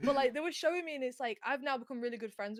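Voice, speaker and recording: With a strong Yorkshire accent, a woman speaks with ordinary pitch variation in a dry, close sound with no echo. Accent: broad Yorkshire. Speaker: gaming streamer, content creator. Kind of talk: casual interview chat. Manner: loud when excited.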